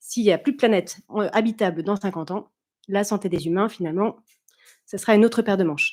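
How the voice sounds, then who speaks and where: Over a silent background in a very clean recording, a woman at a medium pitch talks at a very fast pace with long, frequent pauses. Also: ordinary pitch variation. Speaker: conference speaker, consultant and former doctor. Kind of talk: conference talk.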